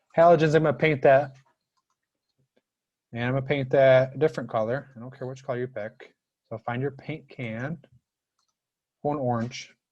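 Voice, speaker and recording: A man at a medium pitch talks with fairly even intonation, big swings in loudness and long, frequent pauses. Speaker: high school chemistry teacher. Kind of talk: live online class lecture. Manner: fast; rushed.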